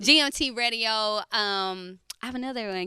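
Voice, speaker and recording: A woman speaks in a bright, sharp, animated tone with ordinary pitch variation. The recording is very clean, with a silent background. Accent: American. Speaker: rapper and community event organizer. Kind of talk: interview.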